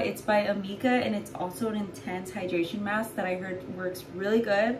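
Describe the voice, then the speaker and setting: Light background noise sits behind a woman speaking at a moderate pace. Her pitch varies in an ordinary way. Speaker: vlogger. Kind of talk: casual vlog chat. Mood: cheerful, chatty. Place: bathroom. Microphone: phone near.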